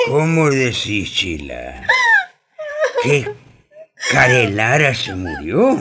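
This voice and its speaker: A man puts on a raspy character voice at a medium pitch. He talks at a very slow pace with long, frequent pauses. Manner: sympathetic, then terrified, then indignant.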